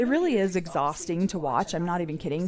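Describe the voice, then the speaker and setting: The speaker is a woman with an American accent and a medium pitch. Her tone is animated, and noticeable background noise can be heard. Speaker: podcast host. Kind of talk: casual chat. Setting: livestream. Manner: loud.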